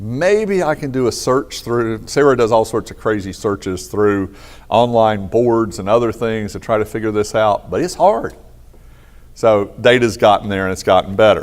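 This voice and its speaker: This man has a normal speaking voice, talking at a moderate pace and medium pitch with ordinary pitch variation. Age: 60s. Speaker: economic consultant and conference speaker. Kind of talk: conference keynote talk. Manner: casual, conversational.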